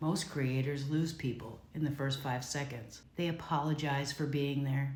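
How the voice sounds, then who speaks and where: A woman speaks with a very deep, low pitch. Her voice carries audible room echo. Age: 50s. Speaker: content creator. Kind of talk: scripted monologue. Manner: confident.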